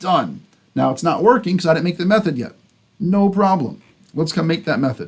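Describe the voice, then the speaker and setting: A man is talking with a high pitch. His pitch varies in an ordinary way. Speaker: computer science instructor. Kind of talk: lecture.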